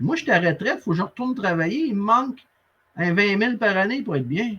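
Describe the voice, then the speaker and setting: A man's raised, projected voice with a Quebec accent, high in pitch, bright and sharp in tone, and animated. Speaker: sales coach and interviewer. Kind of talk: interview conversation.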